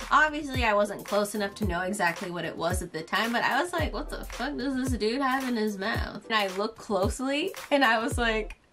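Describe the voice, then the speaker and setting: A woman's fairly quick delivery with hardly any pauses, over clear background music. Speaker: youtuber. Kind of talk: casual storytime vlog chat. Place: home room.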